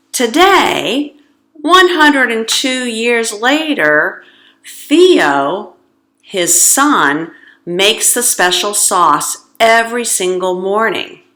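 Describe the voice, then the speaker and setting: In a room with audible echo, a woman speaks at a very slow pace in a fairly high pitch, her bright, sharp tone making very wide pitch swings. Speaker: English teacher. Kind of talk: language lesson monologue.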